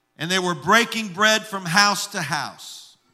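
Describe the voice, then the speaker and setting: A man with a high pitch and a bright, sharp tone uses a raised, projected voice at a moderate pace with fairly even intonation. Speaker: pastor. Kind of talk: sermon. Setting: church with congregation.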